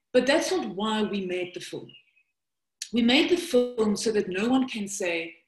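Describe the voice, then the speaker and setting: A woman with a South African accent speaks at a fairly slow pace, leaving long, frequent pauses. Her fairly high voice has lively intonation, with music in the background. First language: Afrikaans. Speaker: documentary filmmaker and presenter. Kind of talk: webinar presentation.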